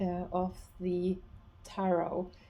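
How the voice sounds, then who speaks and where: The voice carries a Norwegian accent and a dark, mellow tone. The pace is very slow. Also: woman. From Norway. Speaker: esoteric teacher and researcher. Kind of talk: explanatory talk to camera. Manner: halting, with many fillers and restarts.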